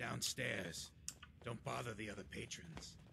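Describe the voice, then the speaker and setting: A put-on character voice, low in pitch, at a moderate pace over clear background noise. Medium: video game. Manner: gruff.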